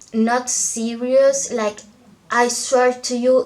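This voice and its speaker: Over noticeable background noise, a woman with a non-native accent speaks at a very slow pace in a monotone, flat intonation. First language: not English. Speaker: book vlogger. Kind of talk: casual vlog chat.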